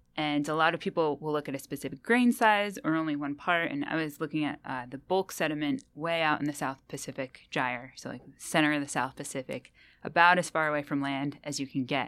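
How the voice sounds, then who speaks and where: On a very clean recording with a silent background, a woman with a very deep, low pitch and ordinary pitch variation talks fairly quickly with hardly any pauses. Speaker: biogeochemist. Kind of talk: interview. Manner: animated.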